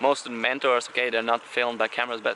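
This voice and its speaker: Through noticeable background noise, a man speaks at a medium pitch with a non-native accent. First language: not English. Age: 20s. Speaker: blogger. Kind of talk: casual video blog monologue. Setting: talking to camera. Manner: halting, repeats words.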